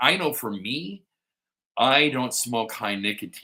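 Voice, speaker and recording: A man with a Chicago accent and a bright, sharp tone. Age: 50s. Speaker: pipe-smoking livestream host. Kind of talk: casual live chat. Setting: living room livestream.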